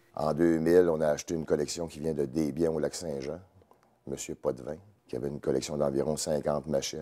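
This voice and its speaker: A man's very deep, low voice, dark and mellow in tone, with vocal fry and monotone, flat intonation. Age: 50s. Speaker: snowmobile museum founder. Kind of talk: interview. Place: hall.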